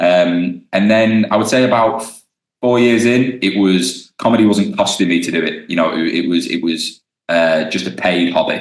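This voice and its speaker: Here a man speaks with a British accent in a fairly low pitch. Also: ordinary pitch variation, moderate pace. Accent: regional British. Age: 20s. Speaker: stand-up comedian. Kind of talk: casual interview chat. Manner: hesitant, many ums and restarts.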